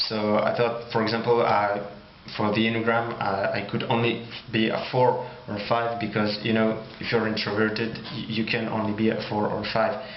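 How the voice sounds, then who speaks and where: Speaking in a French accent at a medium pitch, a man keeps a monotone, flat intonation amid audible room echo and noticeable background noise. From France. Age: 20s. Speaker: YouTuber. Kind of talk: personal monologue. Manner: slow; halting.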